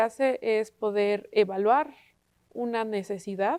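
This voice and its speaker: Over a quiet background, a woman with an unremarkable speaking voice talks at a fairly high pitch with fairly even intonation. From Mexico, Puebla. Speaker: university student. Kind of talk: panel discussion on TV.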